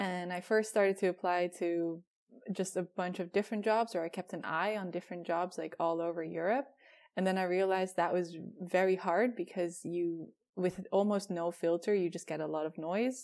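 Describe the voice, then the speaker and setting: Speaking at an unhurried, moderate speed, this woman's voice sits in a medium range. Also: fairly even intonation, very clean recording, silent background. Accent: Dutch. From Netherlands. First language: Dutch. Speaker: product designer. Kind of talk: interview.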